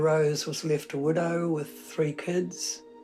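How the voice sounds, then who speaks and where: A New Zealand accent with music in the background. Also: woman. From New Zealand, Napier. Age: 80s+. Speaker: writer. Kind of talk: interview.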